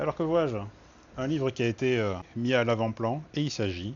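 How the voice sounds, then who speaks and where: A man with a slight Toulouse accent speaks at a medium pitch with ordinary pitch variation. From southern France, Toulouse. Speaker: book video host. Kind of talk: casual book browsing commentary.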